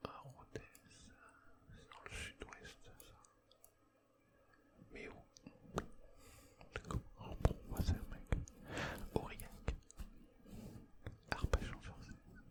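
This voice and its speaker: A man whispers at a very slow pace, with long, frequent pauses and big swings in loudness. Background noise is noticeable. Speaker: ASMR creator. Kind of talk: ASMR gaming commentary.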